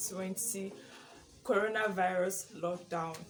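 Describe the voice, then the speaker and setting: Here a woman speaks in a Nigerian accent with a medium pitch. Her intonation is fairly even and her pace fairly slow. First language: Igbo. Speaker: YouTuber. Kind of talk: casual vlog chat. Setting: at home, sitting in her room.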